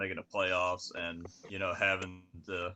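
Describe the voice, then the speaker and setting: A man speaks in a Southern accent at a moderate pace. His tone is bright and sharp. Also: quiet background. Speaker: NASCAR podcast co-host. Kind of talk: casual chat. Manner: halting.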